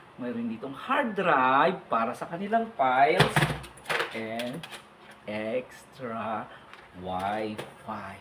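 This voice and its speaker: Someone speaks in an animated tone over noticeable background noise. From Philippines, Abra province. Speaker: vlogger and provincial schoolteacher. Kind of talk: casual vlog talk. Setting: outdoors by a river.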